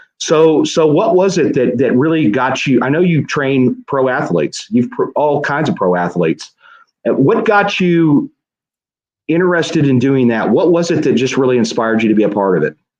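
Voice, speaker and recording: Vocal fry runs through speech with very wide pitch swings, very even loudness, and a moderate pace. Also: man, fairly high pitch for a man. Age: 50s. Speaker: podcast host, police detective. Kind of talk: interview. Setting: live show.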